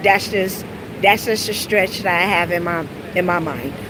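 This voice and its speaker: Noticeable background noise sits behind this woman. She speaks in an American accent with ordinary pitch variation. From US South. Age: 40s. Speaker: live streamer. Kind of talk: casual live stream chat. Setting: walking outdoors while streaming. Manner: halting, many fillers.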